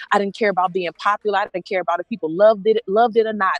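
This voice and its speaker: An animated tone comes through in a dry, close sound with no echo. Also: woman. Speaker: activist and politician. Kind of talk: rally speech. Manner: fast.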